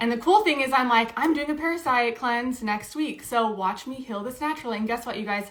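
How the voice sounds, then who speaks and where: A woman with a high voice speaks fairly quickly with hardly any pauses, her pitch varying in an ordinary way against noticeable background noise. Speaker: video creator sharing health experience. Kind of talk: live stream Q&A chat. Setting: live stream. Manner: fast.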